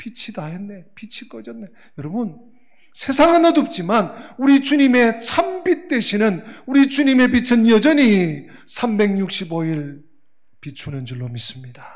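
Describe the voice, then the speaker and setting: A man speaks fairly slowly at a high pitch, with very wide pitch swings, big swings in loudness, and audible room echo. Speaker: pastor. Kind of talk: sermon. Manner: self-described poor pronunciation.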